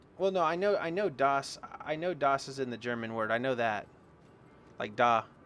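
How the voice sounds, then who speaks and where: In an American accent, a man with a fairly high pitch talks at a moderate pace with lively intonation and long, frequent pauses. Noticeable background noise is present. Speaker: game streamer. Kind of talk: casual chat. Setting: home, live stream. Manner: casual, halting with fillers.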